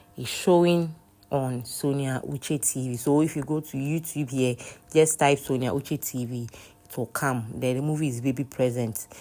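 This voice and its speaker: A woman's dark, mellow, very deep, low voice at a moderate pace with fairly even intonation. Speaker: movie reviewer. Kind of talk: casual movie review. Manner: hesitant, many fillers.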